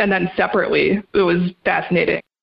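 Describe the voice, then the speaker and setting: With an American accent, a woman talks at a fairly quick pace in a medium pitch and an unremarkable speaking voice. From New York. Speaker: freelance music writer. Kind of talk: interview. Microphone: audio echo in recording.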